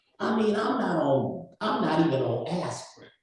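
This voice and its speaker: An animated man's voice swings very widely in pitch, with audible room echo around it. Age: 60s. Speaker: community speaker. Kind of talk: panel discussion.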